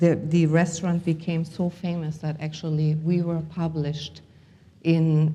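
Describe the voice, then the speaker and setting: A woman with a German accent speaks at a fairly slow pace, her fairly low pitch carrying a dark, mellow tone. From Germany, Hamburg. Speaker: healer and motivational speaker. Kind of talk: conference talk. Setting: stage with audience. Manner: halting, many fillers.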